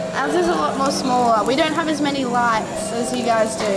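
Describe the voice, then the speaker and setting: Over clear music in the background, a woman talks at a fairly quick pace with ordinary pitch variation. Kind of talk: casual conversation. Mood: cheerful, laughing. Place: bar. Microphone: camera far.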